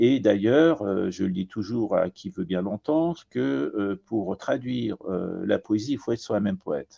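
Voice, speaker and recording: In a dry, close sound with no echo, a man with a dark, mellow tone and fairly low pitch speaks at a fairly slow pace with very wide pitch swings. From Iran and France. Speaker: poet and translator. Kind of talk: interview.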